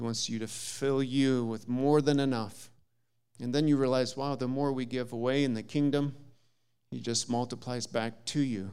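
In an Upper Midwest accent, a man talks at a moderate pace in a medium pitch with a dark, mellow tone and monotone, flat intonation, and audible room echo surrounds him. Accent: Upper Midwest American. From US Midwest, southern Minnesota. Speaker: visiting preacher. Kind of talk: sermon. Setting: church.

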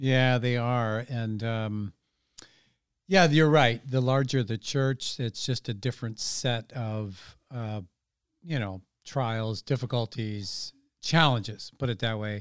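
A man with an American accent speaks at a very slow pace, his pitch varying in an ordinary way. The recording is very clean with a silent background. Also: medium pitch for a man. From California, San Francisco Bay Area. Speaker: pastor. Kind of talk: interview about personal testimony.

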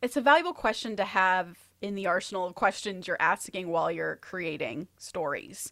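Bright and sharp in tone, a woman speaks at a medium pitch and moderate pace with lively intonation. There is vocal fry, and the recording is very clean with a silent background. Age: 30s. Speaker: screenwriter and podcast host. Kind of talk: casual chat.

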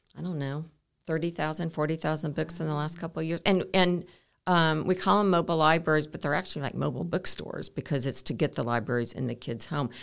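A woman's very deep, low voice at a very fast pace, on a very clean recording with a silent background. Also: ordinary pitch variation. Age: 60s. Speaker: entrepreneur, co-working space founder. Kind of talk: casual interview.

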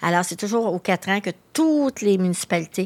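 In a Quebec accent, a woman talks at a fairly quick pace, the sound dry and close with no echo on a very clean recording with a silent background. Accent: Québécois French. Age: 60s. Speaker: magazine editor and association executive. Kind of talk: interview. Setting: studio.

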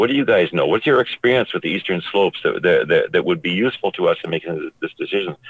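Speaking at a very fast pace, a man talks with a Canadian accent. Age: 60s. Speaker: naturalist. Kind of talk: radio interview. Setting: phone call from a vehicle.

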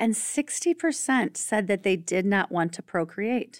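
In a very clean recording with a silent background, a woman talks at a moderate pace. She has a normal speaking voice at a medium pitch. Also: dry, close sound with no echo. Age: 40s. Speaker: podcast host and birth doula. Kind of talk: casual chat.

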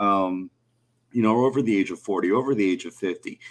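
This man has a plain, everyday voice with an American accent, speaking at a moderate pace with ordinary pitch variation. The recording is very clean, with a silent background. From US South, near New Orleans. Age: 30s. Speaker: motorsports writer. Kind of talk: casual chat.

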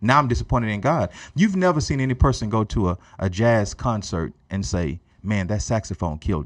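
This man talks at a fairly quick pace with a fairly low pitch and vocal fry. His intonation is lively, and the background is quiet. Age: 30s. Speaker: pastor. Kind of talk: casual chat. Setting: studio.

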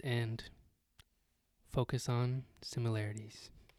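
Over a silent background in a very clean recording, a man with an American accent speaks at a very slow pace, with medium pitch and a monotone, flat intonation. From Texas. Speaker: podcast co-host. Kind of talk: casual chat.

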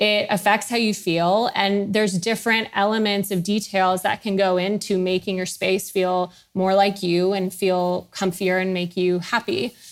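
In a very clean recording with a silent background, a woman talks at a moderate pace in a monotone, flat intonation, with hardly any pauses. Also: medium pitch for a woman. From US, Houston, Texas. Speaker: founder of a home accessory brand. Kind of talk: interview.

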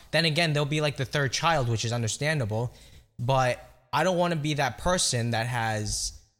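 With music in the background, a man speaks at a moderate pace and medium pitch with lively intonation. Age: 20s. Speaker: podcast host. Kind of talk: casual chat. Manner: loud.

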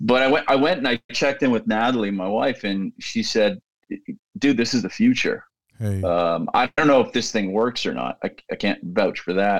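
Very clean recording, silent background, a man's voice at a moderate pace. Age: 50s. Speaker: tech company CEO. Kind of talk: interview conversation.

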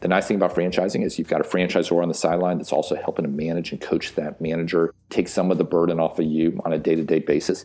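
Over noticeable background noise, a man speaks at a very fast pace with hardly any pauses. His very deep, low voice stays monotone and flat. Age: 40s. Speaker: franchise consultant. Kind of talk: sponsored segment.

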